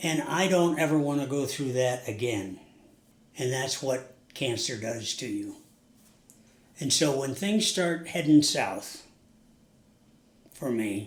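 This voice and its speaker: In an American accent, a man with a fairly high, somewhat breathy voice talks very slowly with lively intonation and long, frequent pauses, and the room echo is audible. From US Northeast. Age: 80s+. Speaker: recovering alcoholic, interview guest. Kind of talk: interview. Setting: sit-down interview.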